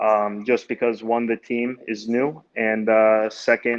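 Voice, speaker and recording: The speaker has a Mid-Atlantic accent. The intonation is monotone and flat. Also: man. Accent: American, Mid-Atlantic. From US, Baltimore. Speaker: amateur soccer player. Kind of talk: interview. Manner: halting.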